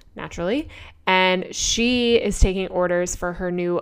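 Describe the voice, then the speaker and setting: At a moderate pace, a woman talks in a medium pitch with ordinary pitch variation. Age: 30s. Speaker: artist and podcast host. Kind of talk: solo podcast monologue. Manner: casual, filler-heavy.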